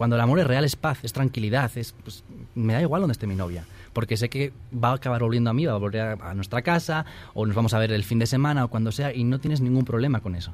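Talking at a very fast pace, a man uses medium pitch with ordinary pitch variation. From northern Spain, Asturias. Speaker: author. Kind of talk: interview.

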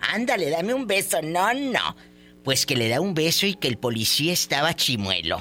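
With music playing behind him, a man speaks in a high voice that makes very wide pitch swings. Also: moderate pace. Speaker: radio host. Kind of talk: call-in radio show. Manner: animated.

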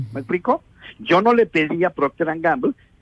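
A man talks with vocal fry. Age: 60s. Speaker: environmental engineer. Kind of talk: radio interview.

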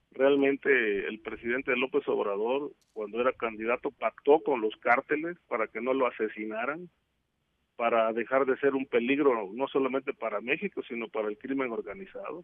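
With a moderate pace, a man speaks using ordinary pitch variation. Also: medium pitch for a man. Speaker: security and drug trafficking expert. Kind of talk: interview. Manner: halting.

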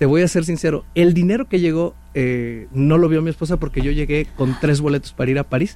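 In a plain, everyday voice, a man talks at a fairly quick pace with fairly high pitch, fairly even intonation and very even loudness. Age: 40s. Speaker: author and leadership speaker. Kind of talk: casual interview.

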